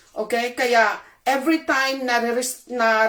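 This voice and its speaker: The woman's voice sits at a high pitch. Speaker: channel host, commentator. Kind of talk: online commentary video. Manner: emotional, agitated.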